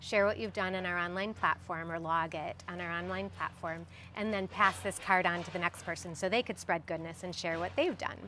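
Fairly low-pitched with vocal fry, a woman speaks at a fairly quick pace with hardly any pauses. Her intonation stays fairly even. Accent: American. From US Midwest, Chicago suburbs. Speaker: educator and theater professional. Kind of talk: interview.

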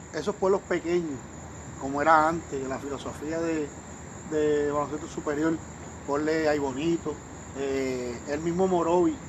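Against noticeable background noise, a man with a fairly high pitch talks fairly slowly in fairly even intonation, leaving long, frequent pauses. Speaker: sports commentator. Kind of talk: casual chat. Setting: at the host's home.

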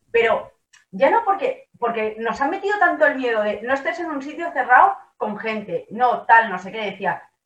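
A high-pitched woman at a moderate pace, with very wide pitch swings and big shifts in loudness. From Badalona, Catalonia. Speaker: lawyer, political panelist. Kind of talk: panel discussion.

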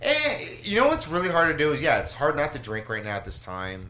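A man talks, and noticeable background noise can be heard around him. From Los Angeles. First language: Spanish. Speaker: stand-up comedian. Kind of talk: casual chat. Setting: studio.

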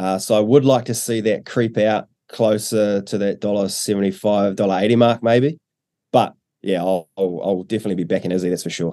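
A man speaks at a fairly quick pace in a fairly low register. His tone is dark and mellow, and his intonation stays fairly even. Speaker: betting company rep. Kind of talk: casual chat. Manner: relaxed, chatty, with filler words.

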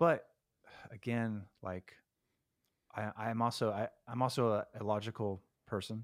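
Speaking with a Californian accent at a medium pitch, a man keeps a moderate pace and fairly even intonation, with long, frequent pauses, in a dry, close sound with no echo. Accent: Californian American English. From California, Stockton area. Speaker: rock guitarist. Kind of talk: casual interview chat. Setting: remote call from home.

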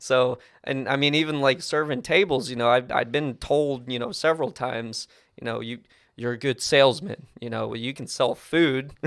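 An ordinary speaking voice with an American accent, ordinary pitch variation and a moderate pace, on a very clean recording with a silent background. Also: man, medium pitch for a man. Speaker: new RV salesperson, former restaurant server. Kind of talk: casual interview chat over beers.

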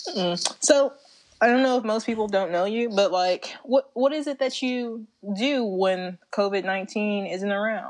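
A plain, everyday voice from a woman, moderate in pace, fairly high in pitch, its pitch moving in an ordinary way. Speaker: podcast host. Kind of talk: casual comedic chat. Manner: chatty, filler-heavy.

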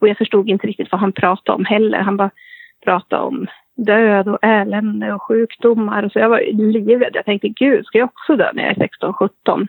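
Using an unremarkable speaking voice, a woman talks at a moderate pace with a fairly high pitch and fairly even intonation. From Sweden, Köping (Västmanland). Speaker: medium. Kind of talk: interview storytelling.

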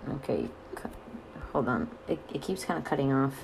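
At a moderate pace, a woman's voice swings very widely in pitch against noticeable background noise. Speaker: podcast host. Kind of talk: casual interview chat.

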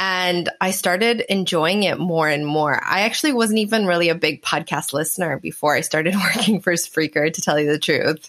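With a Canadian accent and hardly any pauses, a woman talks in an ordinary speaking voice at a fairly low pitch. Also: ordinary pitch variation, moderate pace. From Canada. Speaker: swimwear brand founder and podcaster. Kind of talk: interview.

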